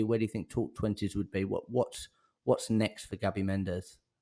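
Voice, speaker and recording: On a very clean recording with a silent background, a man with a Southern English accent speaks at a moderate pace in a dark, mellow tone. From northern England, Blackpool. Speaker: podcast host. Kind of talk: podcast interview. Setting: office studio.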